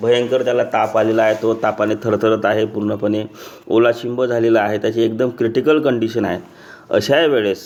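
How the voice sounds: With fairly even intonation, the words come in a natural reading voice.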